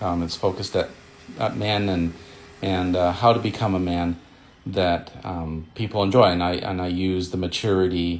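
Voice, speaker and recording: Speaking with fairly even intonation, a man keeps a moderate pace in a very deep, low pitch. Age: 60s. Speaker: retired writer and social media beginner. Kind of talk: casual video monologue. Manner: halting, many fillers and repetitions.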